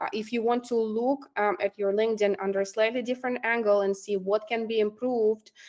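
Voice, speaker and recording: Speaking at a fairly quick pace with hardly any pauses, a woman has a non-native accent and a fairly high pitch. Her intonation is monotone and flat. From immigrant to Canada. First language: not English. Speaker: recruiter and career coach. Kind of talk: online workshop presentation. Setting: online workshop with chat. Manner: hesitant, many fillers.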